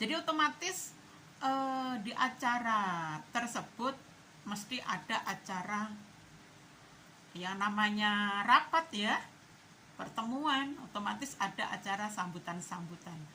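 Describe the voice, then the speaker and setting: A fairly high-pitched woman speaks at a very slow pace. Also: lively intonation. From East Java, Indonesia. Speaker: political commentary vlogger. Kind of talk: casual opinion monologue.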